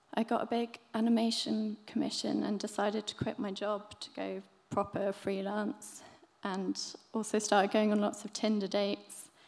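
Flat, monotone delivery at a moderate pace, with a southern English accent. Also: woman. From southern England, Brighton; southern England. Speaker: illustrator; speaker. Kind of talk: talk at a live event. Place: stage. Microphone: podium.

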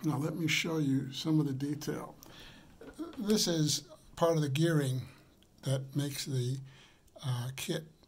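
Over light background noise, a man speaks in a somewhat breathy voice with fairly even intonation. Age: 80s. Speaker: product reviewer. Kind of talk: product review. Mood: warm, enthusiastic, unhurried. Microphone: phone near.

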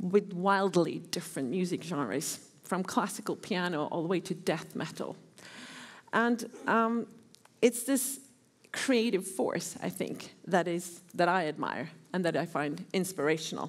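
A woman talks at a fairly slow pace with ordinary pitch variation. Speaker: guest lecturer. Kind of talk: lecture. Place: hall. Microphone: headset.

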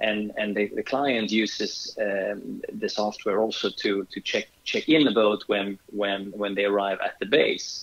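Here a man speaks with a Swedish accent at a fairly slow pace. He leaves hardly any pauses. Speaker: yacht charter company owner. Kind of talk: interview. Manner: halting.

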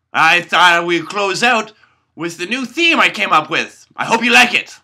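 A man's put-on character voice, high-pitched and bright and sharp in tone, with lively intonation at a fairly slow pace

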